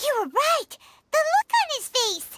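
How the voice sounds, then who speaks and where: A squeaky, put-on character voice at an extremely high pitch. It moves at a fairly slow pace. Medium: video game. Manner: excitable, chatty.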